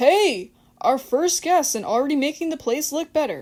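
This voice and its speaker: A woman's high, put-on character voice with lively intonation at a moderate pace, on a very clean recording with a silent background. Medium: read story. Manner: jovial, hearty.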